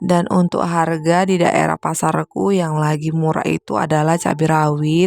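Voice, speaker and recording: A woman with a very deep, low pitch speaks at a moderate pace with hardly any pauses and very even loudness, in fairly even intonation. The sound is dry and close, with no echo, over noticeable background noise. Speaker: homemaker vlogger. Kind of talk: voiceover vlog narration.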